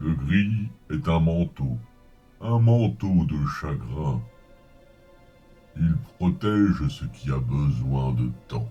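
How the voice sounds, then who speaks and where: A man's put-on character voice, very deep and low, soft-spoken and very slow, with long, frequent pauses and faint music in the background. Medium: audio drama. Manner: slow, soft, wise.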